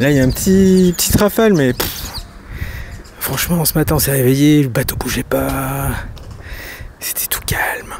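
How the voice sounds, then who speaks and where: A man with a fairly high pitch talks with ordinary pitch variation, and noticeable background noise is heard. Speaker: sailing vlogger. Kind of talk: casual vlog narration. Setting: on a sailboat.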